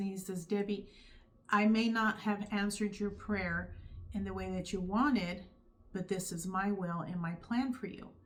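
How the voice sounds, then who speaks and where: At a moderate pace, a woman with a medium pitch and fairly even intonation sounds somewhat breathy. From California. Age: 50s. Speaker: YouTuber sharing faith testimony. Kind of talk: testimony. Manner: casual, conversational.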